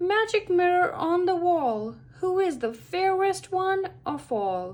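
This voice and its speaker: Putting on a character voice, a woman speaks at a fairly slow pace in an extremely high pitch with lively intonation. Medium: read story.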